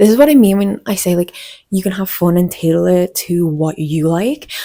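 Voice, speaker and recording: A woman talks fairly quickly in a Scouse accent. Her tone is dark and mellow. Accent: mild Scouse (Wirral). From northern England, the Wirral (Merseyside). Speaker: fashion vlogger. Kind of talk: casual chat. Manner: animated.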